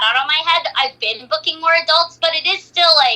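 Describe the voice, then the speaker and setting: Speaking at a fairly quick pace, a woman uses a raised, projected voice with a high pitch. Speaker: voice actor. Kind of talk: casual interview chat.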